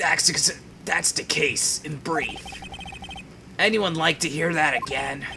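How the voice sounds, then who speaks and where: A man's put-on character voice, raspy and gravelly, fairly high in pitch with ordinary variation, at a fairly slow pace with long, frequent pauses over clear background noise. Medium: machinima. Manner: sad-sounding, plodding.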